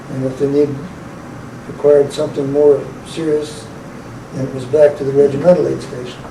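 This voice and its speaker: With an American accent and a fairly high pitch, a man talks at a fairly quick pace in a monotone, flat intonation, with long, frequent pauses and big swings in loudness, amid noticeable background noise and audible room echo. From Maryland. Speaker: war veteran. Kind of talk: interview.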